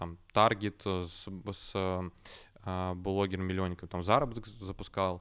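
Over a quiet background, a man talks with a very deep, low pitch. His pace is very slow and his intonation monotone and flat. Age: 20s. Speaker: online school producer. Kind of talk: casual podcast interview.

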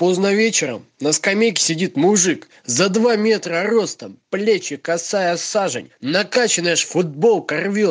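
Someone is reading aloud in a natural voice. Pitch shifts are ordinary throughout.

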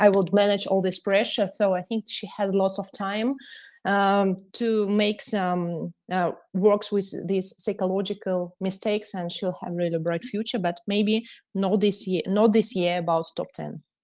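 A woman speaks with a Russian accent at medium pitch and with fairly even intonation against a quiet background. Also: fairly slow pace. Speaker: podcast host, tennis telegram channel author. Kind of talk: podcast chat.

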